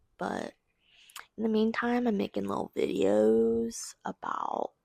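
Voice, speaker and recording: A woman speaking at a very slow pace, in a dry, close sound with no echo. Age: 20s. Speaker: video blogger. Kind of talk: casual video diary monologue. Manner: slurring, mixing up words.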